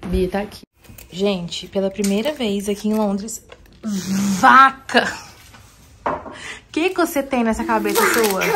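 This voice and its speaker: A woman at a fairly slow pace with ordinary pitch variation, over noticeable background noise. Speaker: vlogger and mother; vlogger. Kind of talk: casual vlog talk. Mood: relaxed, just woke up. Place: home room. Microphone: phone near.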